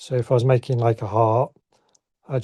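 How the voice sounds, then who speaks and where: Somewhat breathy and dark, mellow in tone, a voice with a northern English accent moves at a moderate pace in a monotone, flat delivery, the sound dry and close with no echo. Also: man. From northern England, Southport, Lancashire. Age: 60s. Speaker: ceramic artist. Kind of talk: casual interview. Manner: halting.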